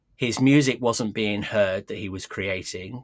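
This recording is very clean, with a silent background. The man talks in a British accent. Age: 60s. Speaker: loudspeaker company owner. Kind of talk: interview. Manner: halting.

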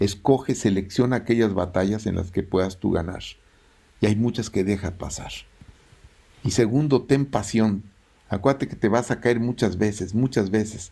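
A man speaks with a fairly low pitch and a dark, mellow tone. His pitch varies in an ordinary way, and he takes long, frequent pauses. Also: moderate pace. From Mexico. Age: 70s. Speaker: engineer and entrepreneur. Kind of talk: interview.

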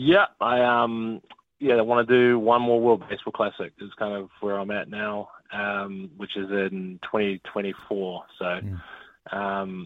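In a New Zealand accent, the speaker goes at a very slow pace with fairly even intonation and big swings in loudness. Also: man, fairly low pitch for a man. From New Zealand, Auckland. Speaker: baseball player. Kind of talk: interview. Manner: hesitant, many fillers.

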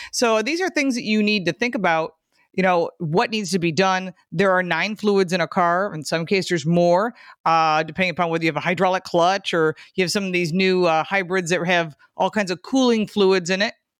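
A woman with an American accent talks in a normal speaking voice at a fairly quick pace, with medium pitch and ordinary pitch variation, in a dry, close sound with no echo. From Michigan. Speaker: car show co-host, automotive expert. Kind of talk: casual chat. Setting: remote internet call.

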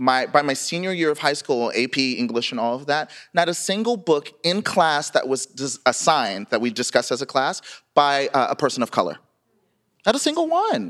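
A man with a fairly high pitch and an American accent, lively intonation, a moderate pace and a normal speaking voice. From US South. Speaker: writer, memoirist. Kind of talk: live interview. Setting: stage with audience.

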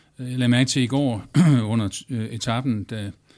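On a very clean recording with a silent background, a man speaks at medium pitch with fairly even intonation. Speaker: journalist. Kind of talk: panel discussion. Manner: halting, many fillers.

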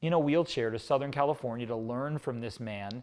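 A man's medium-pitched voice, a normal speaking voice with ordinary pitch variation. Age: 40s. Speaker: nutrition company co-founder and author. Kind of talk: casual chat.

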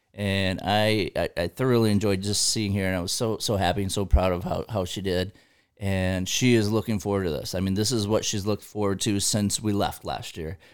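The speaker has an ordinary speaking voice and an American accent. The pace is fairly quick, and the intonation fairly even. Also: man, fairly low pitch for a man. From Michigan. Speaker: hunter and sports official. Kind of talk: casual chat.

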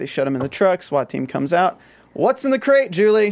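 A man speaks at a very fast pace in a high pitch. The recording is very clean, with a silent background. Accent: American. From US South. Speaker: TV after-show co-host. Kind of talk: casual chat. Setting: studio.

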